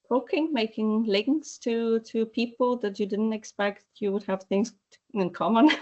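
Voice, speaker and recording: Somewhat breathy and with ordinary pitch variation, the speaker talks at a fairly slow pace in a Polish accent. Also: woman. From Poland. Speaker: animal welfare advocate. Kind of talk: webinar panel discussion. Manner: halting, many repetitions and fillers.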